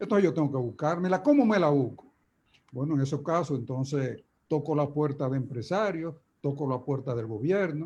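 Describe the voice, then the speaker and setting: Dark, mellow tone from a man, somewhat breathy and fairly high-pitched, at moderate speed with typical pitch movement. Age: 80s+. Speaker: trade union leader. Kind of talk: conference talk. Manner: halting.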